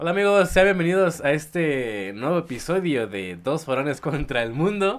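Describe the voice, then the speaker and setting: In a very clean recording with a silent background, a man talks at a fairly slow pace with very wide pitch swings. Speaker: podcast co-host, university student. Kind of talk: casual chat.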